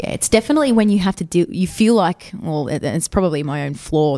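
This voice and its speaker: A woman's dark, mellow voice in an Australian accent, very fast, with ordinary pitch variation. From Sydney, Australia. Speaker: football captain and PE teacher. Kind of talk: interview. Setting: school during lunch break.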